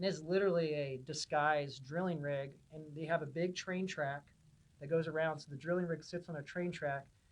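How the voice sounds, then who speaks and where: This man has a fairly high pitch and fairly even intonation. He talks at a fairly quick pace, with big swings in loudness. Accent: Californian. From Southern California, Huntington Beach. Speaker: pipeline engineering manager. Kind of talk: podcast interview. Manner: casual, with many fillers.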